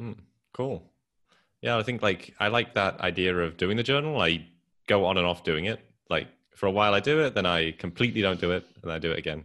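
A man with a British accent speaks quickly, fairly so, with lively intonation and a bright, sharp tone. His pitch is very deep and low, and the background is quiet. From England. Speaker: podcast host and entrepreneur. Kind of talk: casual interview chat.

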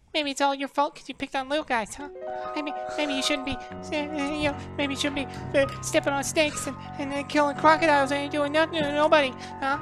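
Music plays clearly behind a squeaky, put-on character voice. It moves fairly quickly but has long, frequent pauses. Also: female-sounding voice, high pitch for a woman. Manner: scolding.

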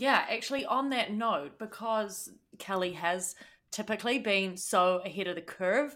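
A woman with a New Zealand accent speaks at a moderate pace and medium pitch. Her tone is bright and sharp, with ordinary pitch variation. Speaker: podcast co-host. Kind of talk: casual chat.

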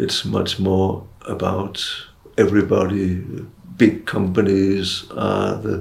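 A man with a Danish accent speaks at a very slow pace in a fairly low voice. His intonation is fairly even, with vocal fry. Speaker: retired professor of global health, doctor. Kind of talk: interview.

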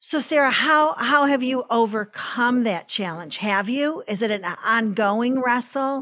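With an unremarkable speaking voice, a woman talks at a fairly slow pace and a fairly high pitch, her intonation lively, in a very clean recording with a silent background. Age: 60s. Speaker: podcast host. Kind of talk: interview.

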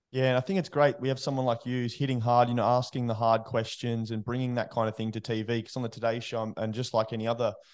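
Over a quiet background, a man with an Australian accent talks at a very fast pace in a medium pitch with monotone, flat intonation. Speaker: podcast host. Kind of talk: casual interview chat; scripted intro reading.

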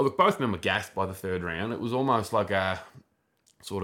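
A man speaks very fast with a very deep, low pitch and an Australian accent. The recording is very clean, with a silent background. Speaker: podcast co-host. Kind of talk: casual chat.

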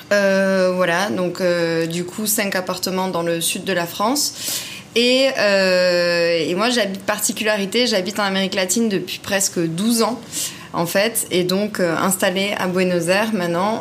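Amid noticeable background noise and audible room echo, a woman speaks at a medium pitch with fairly even intonation. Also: fairly slow pace. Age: 30s. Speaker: property investor. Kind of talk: interview.

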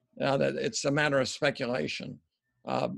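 A man with a fairly high pitch and ordinary pitch variation speaks with vocal fry in a dry, close sound with no echo. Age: 60s. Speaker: New Testament scholar. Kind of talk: casual chat. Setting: video call.

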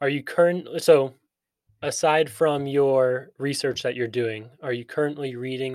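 A man speaks in a normal speaking voice at a medium pitch and moderate pace, on a very clean recording with a silent background. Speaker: podcast host. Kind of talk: casual interview.

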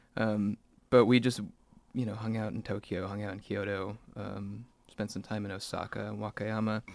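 This voice carries a West Coast US accent. The intonation is monotone and flat. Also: man. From Salem, Oregon, US Pacific Northwest. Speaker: songwriter and band frontman. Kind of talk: casual interview chat. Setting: studio.

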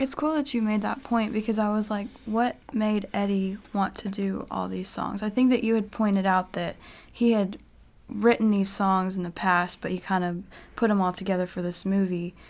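In a very clean recording with a silent background, a woman speaks at a moderate pace in a medium pitch with ordinary pitch variation and a plain, everyday voice. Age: young. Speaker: co-host's daughter, guest. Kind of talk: casual chat. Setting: studio.

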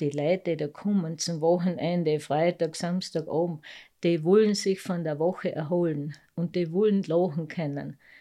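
Speaking at a fairly slow pace against a quiet background, a woman has a dark, mellow tone, fairly low pitch and a monotone, flat delivery. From Carinthia, Lavant valley. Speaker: mountain farmer and dialect poet. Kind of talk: casual interview.

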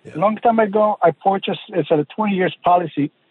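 Music plays behind a man speaking at a moderate pace. His pitch is high, with ordinary variation. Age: 50s. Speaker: caller. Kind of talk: phone-in question. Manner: halting.

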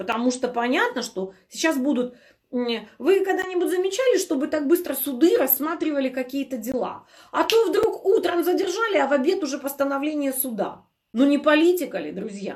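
In an animated tone and at a moderate pace, a woman speaks at a high pitch with very wide pitch swings. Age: 40s. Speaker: health blogger. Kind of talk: live stream Q&A.

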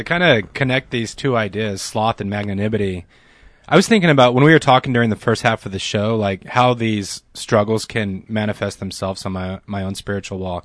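A man with a normal speaking voice, fairly low in pitch, talks fairly quickly with ordinary pitch variation against a quiet background. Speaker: radio co-host. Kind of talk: casual radio conversation. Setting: studio.

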